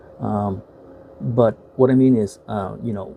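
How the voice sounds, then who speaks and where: There is noticeable background noise behind a man speaking with an American accent. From United States. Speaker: YouTuber, film reviewer. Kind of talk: casual video review. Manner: halting, many fillers.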